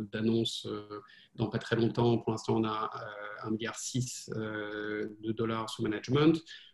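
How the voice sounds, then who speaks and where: Noticeable background noise fills the recording. The man's pitch is medium. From France. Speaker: venture capital investor. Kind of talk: interview. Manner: halting.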